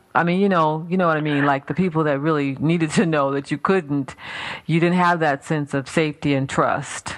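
A woman's very deep, low voice with fairly even intonation at a fairly quick pace. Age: 40s. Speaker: radio host and minister. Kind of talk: talk radio interview.

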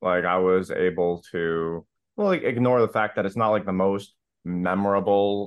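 A man talks in a plain, everyday voice. His pitch is fairly low, with ordinary pitch variation. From Florida, US. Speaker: musician and songwriter. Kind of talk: casual chat.

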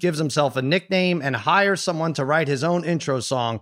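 A man speaks in an ordinary speaking voice, pitched fairly high. He talks at a fairly quick pace with ordinary pitch variation. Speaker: sports podcast host. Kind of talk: casual chat.

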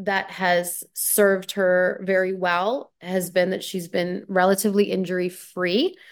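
A woman speaks with a Canadian accent at a medium pitch and a fairly slow pace, in a plain, everyday voice. The recording is very clean, with a silent background. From Canada. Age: 30s. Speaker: former pro tennis player and commentator. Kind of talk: casual interview.

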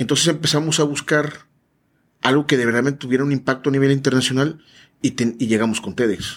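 At a fairly quick pace, the speaker uses a plain, everyday voice with ordinary pitch variation. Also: man, medium pitch for a man. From Veracruz, Mexico. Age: 40s. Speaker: business consultant and event organizer. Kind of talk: casual interview. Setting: studio.

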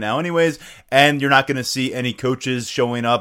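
A man talks at a fairly quick pace with a medium pitch. He has ordinary pitch variation and an unremarkable speaking voice. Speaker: podcast host. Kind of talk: casual sports podcast discussion and interview.

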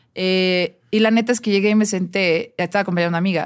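A woman speaks at medium pitch and a fairly quick pace. Her intonation stays fairly even. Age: 30s. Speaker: music journalist and DJ. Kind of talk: casual chat.

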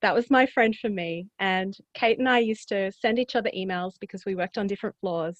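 A woman with an Australian accent talks at a fairly quick pace with hardly any pauses. Her medium pitch has ordinary variation, and the sound is dry and close with no echo. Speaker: author. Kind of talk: casual interview chat.

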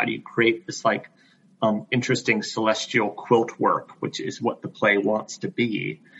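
Noticeable background noise behind a man at a moderate pace, with an American accent. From US South, Greenville, South Carolina. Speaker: theater director. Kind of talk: interview. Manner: halting, with fillers.

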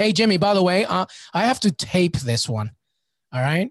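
A man's high, animated voice, fairly quick, dry and close with no echo, against a quiet background. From Peru. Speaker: podcast host. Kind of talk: casual chat.

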